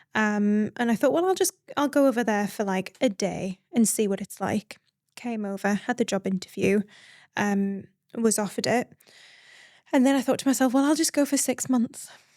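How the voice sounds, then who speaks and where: A woman with a northeast English accent, fairly high-pitched and lively in intonation, in a very clean, dry and close recording with a silent background and no echo. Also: moderate pace. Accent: northeast English accent noticeable. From northeast England, Northumberland. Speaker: midwife and founder. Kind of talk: podcast interview. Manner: conversational with many fillers.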